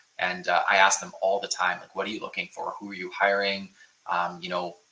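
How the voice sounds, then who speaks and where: A man with a Canadian accent at a fairly quick pace, over noticeable background noise. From Ontario, Canada (Niagara Falls). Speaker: bootcamp info session host. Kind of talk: live webinar Q&A. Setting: online livestream. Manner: casual, filler-heavy.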